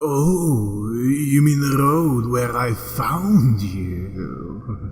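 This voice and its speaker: In a put-on character voice, a man speaks very slowly at a medium pitch, sounding husky. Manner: slow, menacing.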